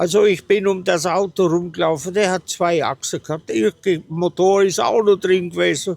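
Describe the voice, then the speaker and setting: A man talks at a fairly slow pace, his pitch high for a man. His intonation stays fairly even. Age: 80s+. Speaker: classic car owner. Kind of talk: interview.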